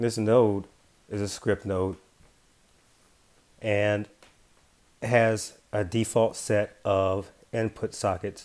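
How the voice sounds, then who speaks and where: A man's fairly low, monotone, flat voice at a very slow pace, with long, frequent pauses. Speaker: app developer tutorial presenter. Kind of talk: software tutorial screencast narration. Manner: casual, hesitant with fillers.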